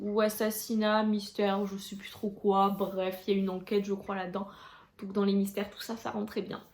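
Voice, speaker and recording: At a moderate pace, a woman talks in a medium-pitched, monotone, flat voice with big swings in loudness. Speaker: booktuber. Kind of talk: casual vlog talk to camera. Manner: hesitant, many fillers.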